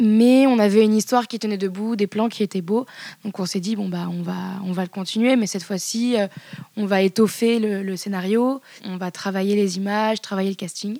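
A woman talks at a medium pitch with a dark, mellow tone and fairly even intonation. Her recording is dry and close, with no echo. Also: very clean recording, silent background. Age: 20s. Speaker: live performance communication worker. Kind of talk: casual interview. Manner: halting, many fillers.

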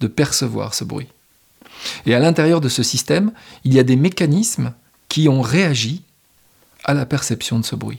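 A man with a medium pitch and vocal fry talks at a moderate pace with ordinary pitch variation. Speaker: podcast host. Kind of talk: reflective solo monologue. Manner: unscripted, spontaneous.

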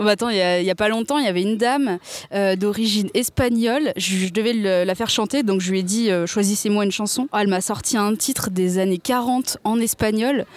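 A woman with an unremarkable speaking voice, medium pitch, ordinary pitch variation and a fairly quick pace. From France, Seine-et-Marne. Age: 20s. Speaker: speech therapist. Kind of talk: casual interview chat.

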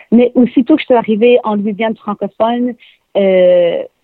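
A woman speaks in a Quebec accent at a fairly high pitch. Her pace is moderate, and her pitch varies in an ordinary way. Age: young. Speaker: singer-songwriter. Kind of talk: interview.

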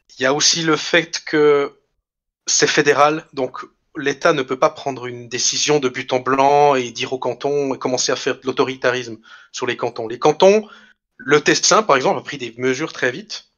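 A man's plain, everyday voice, fairly high in pitch with ordinary pitch variation, big swings in loudness and a moderate pace. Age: 20s. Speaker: schoolteacher. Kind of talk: interview conversation.

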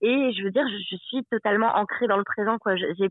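This is an unremarkable speaking voice, a woman's, pitched fairly high. She keeps a moderate pace and fairly even intonation. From Savoie, France. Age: 30s. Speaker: expatriate traveller. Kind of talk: interview.

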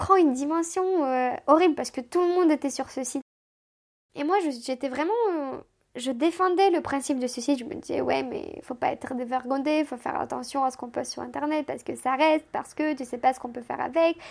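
Speaking at a fairly quick pace, a woman with a high pitch shows big swings in loudness and ordinary pitch variation. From Moldova (Chisinau). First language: Romanian (speaking French). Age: 20s. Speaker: immigrant telling her life story. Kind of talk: casual chat.

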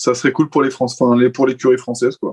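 A man talks at a medium pitch. His intonation stays flat and monotone. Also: dry, close sound with no echo. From France. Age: 20s. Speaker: Formula 1 podcast panelist. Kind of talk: casual chat.

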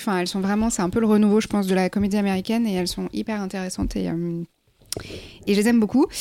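Racing at a very fast pace, a woman speaks in a dark, mellow, fairly high voice with fairly even intonation. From France, Cantal. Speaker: film journalist. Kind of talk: casual chat.

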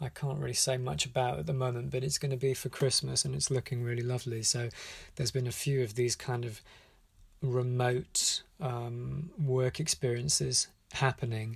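A man's somewhat breathy voice with a British accent, medium in pitch, with ordinary pitch variation, at a moderate pace. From UK. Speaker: animation director. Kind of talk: voicemail message. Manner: hesitant, with many fillers.

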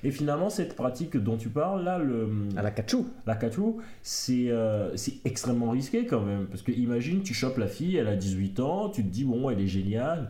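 Amid audible room echo, a man speaks at a moderate pace in a dark, mellow tone that is somewhat breathy, with lively intonation. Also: medium pitch for a man. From Africa. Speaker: podcast co-host. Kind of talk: casual chat; reading aloud.

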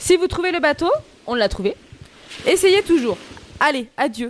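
Noticeable background noise sits behind a woman's voice. Her pitch is extremely high, and her intonation is lively. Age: 20s. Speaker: radio show co-host. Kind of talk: casual chat. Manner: animated.

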